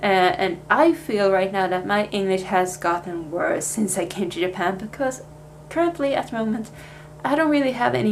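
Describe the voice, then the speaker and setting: Lively intonation from a woman, with noticeable background noise behind her. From Sweden. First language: Swedish. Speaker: vlogger, language student. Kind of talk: casual vlog talk. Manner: casual, hesitant with fillers.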